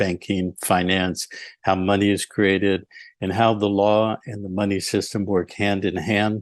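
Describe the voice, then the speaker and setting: A man with a fairly low pitch talks at a moderate pace in a normal speaking voice. The sound is dry and close with no echo, over a quiet background. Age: 60s. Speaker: lawyer and researcher. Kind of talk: interview.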